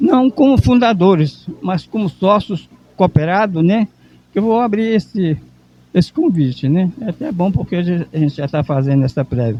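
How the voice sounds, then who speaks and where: This man's voice is high-pitched and moves through very wide pitch swings. He speaks at a moderate pace. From Brazil, Maranhão. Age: 70s. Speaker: veteran journalist and cooperative founder. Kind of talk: interview. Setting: event venue at a symposium.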